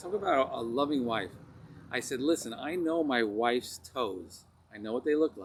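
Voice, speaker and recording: The speaker uses a Long Island accent, lively intonation and a moderate pace. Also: man, medium pitch for a man. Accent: Long Island New York. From US Northeast, Long Island, New York. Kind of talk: personal testimony storytelling.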